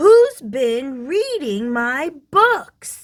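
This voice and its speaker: Doing a put-on character voice, a woman sounds gruff at a high pitch with very wide pitch swings. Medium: read story. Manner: gruff, grumbling.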